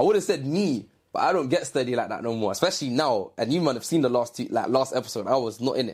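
On a very clean recording with a silent background, a man with a London accent and medium pitch speaks at a very fast pace with lively intonation. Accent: London Multicultural English, how i, sure 4. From East London. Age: 20s. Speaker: dancer. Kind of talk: casual chat.

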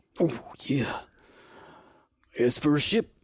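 This is a put-on character voice, raspy and low-to-middle in pitch. It moves at a moderate pace. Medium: actual play. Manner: casual, laid-back.

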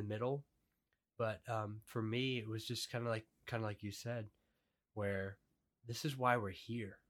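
This man has an ordinary speaking voice, medium in pitch and fairly even in intonation, at a moderate pace. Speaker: podcast host. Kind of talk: casual chat. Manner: casual, conversational.

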